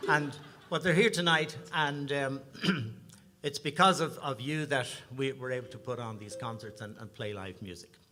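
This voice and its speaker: A man's fairly high, bright and sharp voice in an Irish accent, at a moderate pace with lively intonation and big swings in loudness. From Ireland, Dublin. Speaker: singer-songwriter, bandleader. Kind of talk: stage banter at a concert. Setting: stage with audience.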